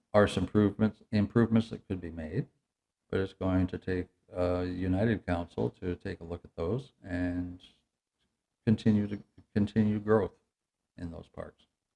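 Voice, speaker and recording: A man's fairly slow speech with an Ontario accent, ordinary pitch variation, and a dry, close sound with no echo. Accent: Canadian (Ontario). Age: 70s. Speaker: municipal council candidate. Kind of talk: interview. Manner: halting.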